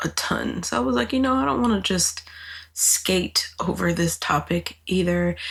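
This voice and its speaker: A woman speaks. Her voice is breathy. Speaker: podcast host. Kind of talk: solo podcast monologue. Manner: casual, conversational.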